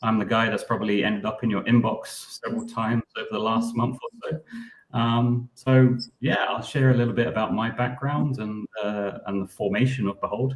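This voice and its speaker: The speaker has a British accent and a moderate pace. Intonation stays fairly even, with hardly any pauses. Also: man, medium pitch for a man. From United Kingdom. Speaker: startup co-founder, designer. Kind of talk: live stream Q&A presentation.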